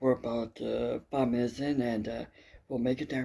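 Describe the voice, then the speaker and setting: A soft-spoken man with a dark, mellow tone, medium pitch, fairly even intonation and moderate pace. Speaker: travel vlogger. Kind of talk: casual travel vlog talk. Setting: indoors early morning, others sleeping. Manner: quiet, soft-spoken; halting, many fillers.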